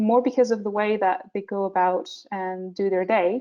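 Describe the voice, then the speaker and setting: A woman with a Portuguese accent, a fairly high pitch, ordinary pitch variation and a moderate pace. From Portugal. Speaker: visual development artist. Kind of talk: webinar presentation. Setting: online webinar, screen share. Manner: many filler words and hesitations.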